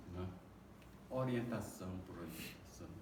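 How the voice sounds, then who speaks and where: With lively intonation, a man talks amid audible room echo and noticeable background noise. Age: 70s. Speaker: spiritist lecturer. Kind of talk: lecture.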